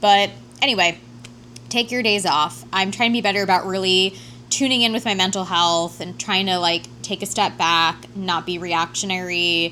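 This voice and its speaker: Music plays in the background as a woman talks. Her pitch is medium and her pace moderate. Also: lively intonation. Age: 30s. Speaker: vlogger. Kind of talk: casual chat. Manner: casual, filler-heavy.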